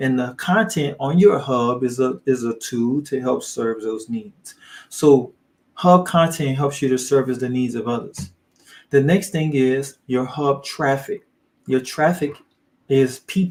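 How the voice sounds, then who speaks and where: Here is a man with a normal speaking voice. He goes at a fairly slow pace, his intonation lively. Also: fairly high pitch for a man. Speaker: online business coach. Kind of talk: live training. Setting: livestream.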